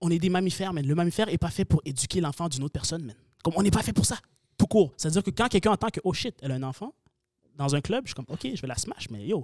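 The sound is dry and close with no echo as a man speaks at a very fast pace. His voice is high-pitched, with very wide pitch swings. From Quebec, Sherbrooke. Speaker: content creator. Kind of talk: casual chat.

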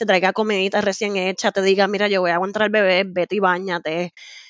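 A woman with a plain, everyday voice, medium pitch and a fairly quick pace. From Puerto Rico. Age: 30s. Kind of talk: casual interview.

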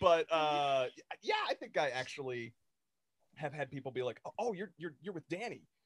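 A man with an unremarkable speaking voice talks at a moderate pace in a fairly high pitch, his intonation lively and the sound dry and close with no echo. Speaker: podcast co-host. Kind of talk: casual chat. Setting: video call. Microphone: poor microphone audio, hard to hear.

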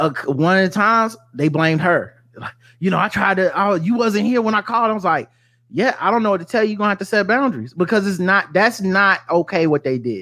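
In a raised, projected voice, a man with an American accent talks at a very fast pace and a high pitch. His tone is bright and sharp, and his pitch variation is ordinary. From US South. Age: 40s. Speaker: podcaster. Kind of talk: casual chat.

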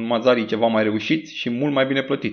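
A man speaks at a fairly quick pace with lively intonation. His medium-pitched voice has vocal fry. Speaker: football podcaster. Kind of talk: angry rant, scathing monologue against a coach. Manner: fiery, sarcastic, indignant; punchy, insulting, fast-paced.

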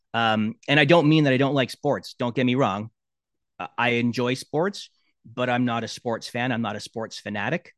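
Speaking with a Canadian accent, a man has an unremarkable speaking voice at medium pitch with ordinary pitch variation and a moderate pace. The sound is dry and close with no echo, over a quiet background. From Canada, Brampton near Toronto. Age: 50s. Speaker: sports broadcast sound engineer. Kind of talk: casual interview.

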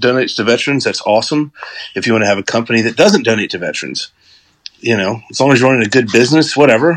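Delivered at a very fast pace with ordinary pitch variation, the speech comes in an American accent. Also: man. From US South, Georgia. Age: 40s. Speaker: hunter and guest commentator. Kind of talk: casual chat. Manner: animated.

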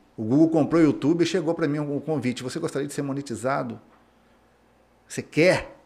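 A man talks at a fairly high pitch with fairly even intonation. His pace is fairly quick, broken by long, frequent pauses. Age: 40s. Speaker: mechanic and auto repair business owner. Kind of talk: interview.

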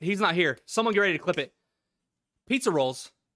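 A man with a high voice speaks in a raised, projected way at a fairly quick pace, his pitch swinging very widely. The sound is dry and close, with no echo. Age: 20s. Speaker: podcast co-host and streamer. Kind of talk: casual chat; reading notes aloud. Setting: online call over Discord.

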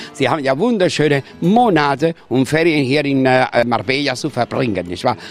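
Over background music, a man speaks at a moderate pace with a fairly high pitch. His intonation is lively. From Spain, Andalusia. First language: Spanish (speaking German). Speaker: tour guide. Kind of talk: guided tour. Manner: animated.

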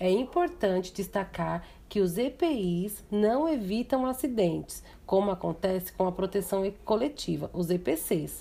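A woman speaks with lively intonation and a dark, mellow tone, somewhat breathy. The recording is very clean, with a silent background. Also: medium pitch for a woman, fairly slow pace, very even loudness. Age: 30s. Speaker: vocational student. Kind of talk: educational presentation. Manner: formal.

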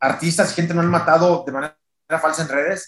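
A man talks at a high pitch. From Mexico, Tijuana. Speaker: sporting goods sales director. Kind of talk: casual interview.

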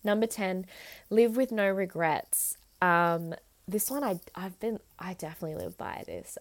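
Speaking at a fairly slow pace with an Australian accent, a woman with a medium pitch shows ordinary pitch variation and big swings in loudness on a very clean recording with a silent background. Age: 20s. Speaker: podcast host. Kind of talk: solo monologue podcast.

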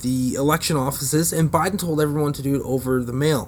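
This man has a normal speaking voice, pitched fairly high and delivered at a moderate pace. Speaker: podcast host. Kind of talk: angry political rant. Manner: sarcastic, profane, scornful, heated.

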